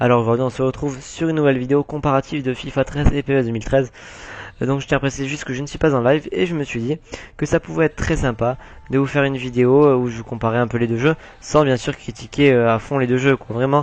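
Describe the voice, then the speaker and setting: The pace is very fast. The intonation stays fairly even. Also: man, medium pitch for a man. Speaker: gaming YouTuber. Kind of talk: gameplay commentary. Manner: hesitant, many fillers.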